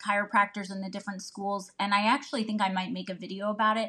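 A woman with a Midwestern American accent and a bright, sharp tone. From Northeast Ohio. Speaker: family physician. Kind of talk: casual chat.

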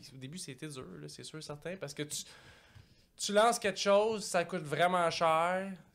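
A high-pitched man with a Quebec accent, at a fairly slow pace with ordinary pitch variation, big swings in loudness, and long, frequent pauses, in a very clean recording with a silent background. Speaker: entrepreneur. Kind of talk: casual chat.

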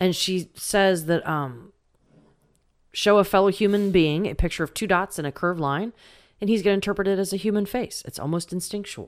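In a very clean recording with a silent background, a woman with a plain, everyday voice talks at a fairly quick pace, her medium pitch showing ordinary pitch variation. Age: 20s. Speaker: podcast co-host, paranormal investigator. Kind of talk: casual chat.

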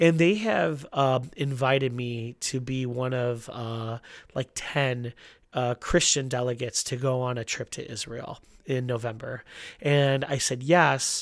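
A man talks in an unremarkable speaking voice at a medium pitch and a fairly slow pace. The recording is very clean, with a silent background. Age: 30s. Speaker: podcast host, church pastor. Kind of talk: casual chat.

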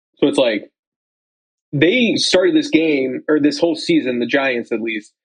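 A man with a fairly high pitch, ordinary pitch variation and an unremarkable speaking voice. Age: 20s. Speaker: podcast co-host. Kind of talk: casual chat.

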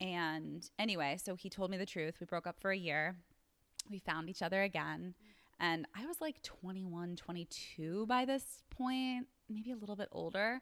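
Lively in intonation, a woman with an American accent talks at a moderate pace and medium pitch in a plain, everyday voice. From US East Coast. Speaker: wellness entrepreneur and yoga teacher. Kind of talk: interview conversation.

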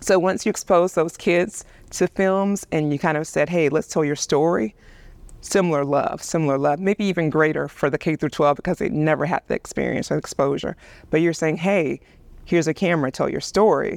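A woman speaks in a Southern US accent at a fairly quick pace. Her pitch sits fairly low and shows ordinary variation. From US South, Alabama. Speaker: video producer and director. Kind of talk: casual chat. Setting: church.

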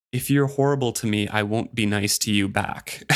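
In a very clean recording with a silent background, a man with medium pitch talks at a moderate pace in an ordinary speaking voice. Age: 30s. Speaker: book podcast co-host. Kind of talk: casual chat.

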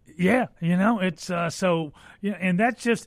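A high-pitched man talks at a moderate pace with ordinary pitch variation. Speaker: fill-in radio talk show host. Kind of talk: call-in talk radio. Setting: radio studio. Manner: animated.

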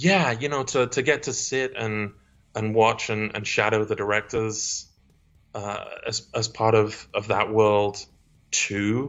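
Fairly even in intonation, a man at medium pitch speaks at a very slow pace. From England, Stoke-on-Trent. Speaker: actor. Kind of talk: casual interview chat.

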